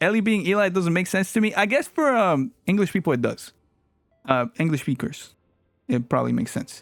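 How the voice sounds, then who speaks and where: Music plays in the background. The speaker talks at a fairly quick pace in a Spanish accent. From Latin America. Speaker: streamer and music producer. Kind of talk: casual chat with live stream viewers. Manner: animated.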